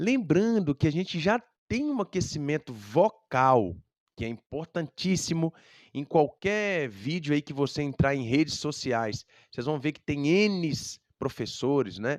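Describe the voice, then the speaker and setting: A man's fairly high voice, heard dry and close with no echo against a quiet background, moves at a fairly slow pace with very wide pitch swings and big swings in loudness. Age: 30s. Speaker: music teacher. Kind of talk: educational talk.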